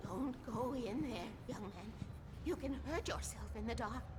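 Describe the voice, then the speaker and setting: Using a put-on character voice, a woman speaks at a moderate pace. Loud background noise is present. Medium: machinima.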